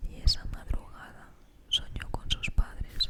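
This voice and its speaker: Fairly slow whispering over noticeable background noise. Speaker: ASMR creator. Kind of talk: horror story reading for sleep. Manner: whispered.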